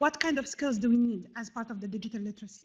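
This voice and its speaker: The woman's voice sits high in pitch. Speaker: conference keynote speaker. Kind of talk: conference talk. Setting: stage with audience. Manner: fast; halting.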